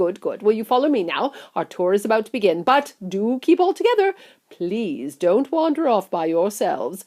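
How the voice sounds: What we hear is a natural reading voice.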